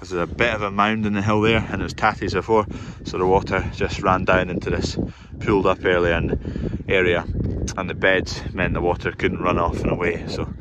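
Over loud background noise, a man talks at a fairly quick pace with a dry sound and no echo. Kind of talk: casual vlog chat. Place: open country. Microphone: phone near.

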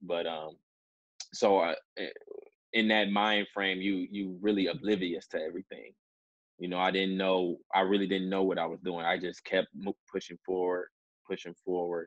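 With an American accent, a man talks at a moderate pace in a very deep, low pitch and a monotone, flat intonation, leaving long, frequent pauses against a quiet background in dry sound with no echo. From Detroit, US Midwest. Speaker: professional basketball player; interview guest. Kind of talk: interview. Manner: hesitant with many fillers. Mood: relaxed, reflective. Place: home room. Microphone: video call.

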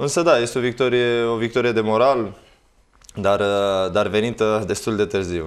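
Pitch varies in an ordinary way at a moderate pace. It is an unremarkable speaking voice. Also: man, quiet background. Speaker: former footballer and youth coach. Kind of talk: casual chat. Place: studio.

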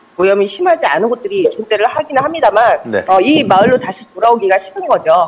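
A woman at a very fast pace, with very wide pitch swings and hardly any pauses. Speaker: field reporter. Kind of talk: interview answer. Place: open country.

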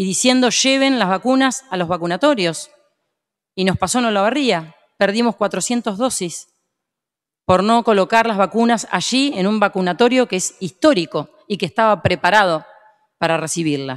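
In a quiet background, a woman talks at a moderate pace with lively intonation. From Argentina. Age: 50s. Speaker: provincial legislator. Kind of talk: parliamentary speech. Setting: legislative chamber session. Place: hall. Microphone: podium.

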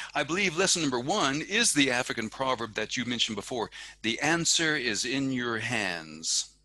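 A man's voice has a bright, sharp tone with vocal fry and very wide pitch swings. The sound is dry with no echo. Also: moderate pace. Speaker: podcast host. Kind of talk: interview. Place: home room. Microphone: headset.

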